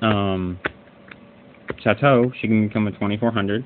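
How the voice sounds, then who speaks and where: A man is speaking. His pitch sits fairly low. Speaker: card game deck reviewer. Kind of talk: casual talk to camera. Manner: hesitant, stuttering.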